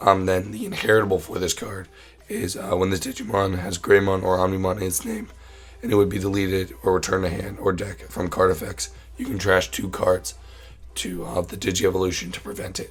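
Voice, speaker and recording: Over music in the background, a man with a very deep, low pitch talks at a fairly quick pace with ordinary pitch variation. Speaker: card game content creator. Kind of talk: tutorial. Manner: casual, many fillers.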